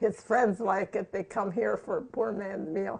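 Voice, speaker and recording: Vocal fry runs through this fairly slow delivery with fairly even intonation. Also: woman. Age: 90s. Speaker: home cook. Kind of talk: cooking tutorial.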